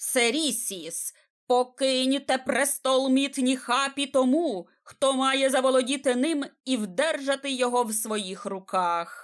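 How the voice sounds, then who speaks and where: In a very clean recording with a silent background, a woman puts on a loud character voice at a high pitch. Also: fairly slow pace. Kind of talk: formal, archaic. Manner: loud, commanding, formal.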